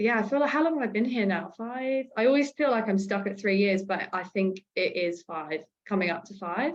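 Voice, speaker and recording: Talking at a fairly quick pace, a woman uses a medium pitch. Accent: slight Australian. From UK. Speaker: podcast co-host. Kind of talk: casual chat.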